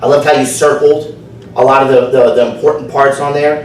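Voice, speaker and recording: A man with a New Jersey accent speaks at a moderate pace and a fairly high pitch, his intonation fairly even. Audible room echo and noticeable background noise surround him. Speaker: speech evaluator, fitness instructor. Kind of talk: speech evaluation at club meeting.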